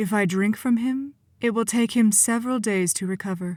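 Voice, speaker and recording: This woman is soft-spoken. She puts on a character voice. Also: fairly high pitch for a woman, moderate pace, very clean recording, silent background. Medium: read story. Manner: soft, low.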